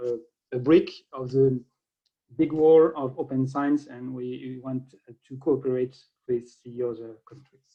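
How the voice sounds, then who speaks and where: A man's medium-pitched voice in a French accent, monotone and flat in intonation, at a fairly slow pace. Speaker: government open science official. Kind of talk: conference keynote. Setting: video call. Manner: halting.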